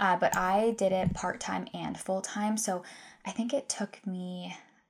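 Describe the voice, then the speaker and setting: In a Canadian accent, a woman speaks at medium pitch with ordinary pitch variation in an ordinary speaking voice, on a very clean recording with a silent background. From Canada, Ontario (Guelph). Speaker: nutrition practitioner and podcast host. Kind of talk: casual solo podcast talk.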